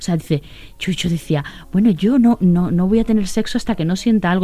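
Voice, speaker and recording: This woman talks at a very fast pace. Her medium-pitched voice has a dark, mellow tone. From Andalusia, Sanlúcar de Barrameda. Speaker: TV presenter. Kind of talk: casual interview chat.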